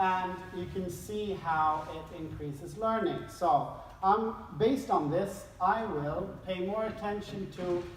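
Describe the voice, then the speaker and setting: A woman talks at a very slow pace with ordinary pitch variation. Noticeable background noise and audible room echo fill the recording. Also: medium pitch for a woman. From Sweden. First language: Swedish. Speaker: behavioral scientist and speaker. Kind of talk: conference talk. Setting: stage with audience.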